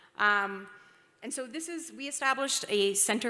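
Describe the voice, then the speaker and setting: This woman has a fairly high pitch and a bright, sharp tone with ordinary pitch variation. There is audible room echo. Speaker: investment banker, conference speaker. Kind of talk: conference presentation. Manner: fast.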